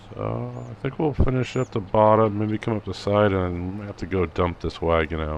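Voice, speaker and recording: A man talks with a very deep, low pitch and lively intonation, hardly pausing at all. Noticeable background noise sits behind him. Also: moderate pace. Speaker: farming sim gameplay youtuber. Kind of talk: casual gameplay commentary.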